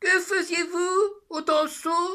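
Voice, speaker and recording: A put-on character voice in a monotone, flat intonation. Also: man. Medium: read story. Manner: dry, sarcastic.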